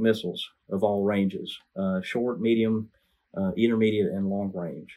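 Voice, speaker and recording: An unremarkable speaking voice, this man's has an American accent, a fairly low pitch and fairly even intonation. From Alabama, US South. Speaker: missile defense engineer and project manager. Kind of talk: interview, technical explanation.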